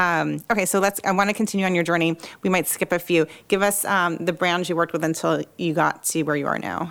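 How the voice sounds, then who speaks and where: In a very clean recording with a silent background, a woman with a fairly low pitch speaks at a fairly quick pace with hardly any pauses, flat monotone intonation and vocal fry. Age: 40s. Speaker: podcast host and creative agency founder. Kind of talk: interview conversation. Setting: studio, sitting next to guest.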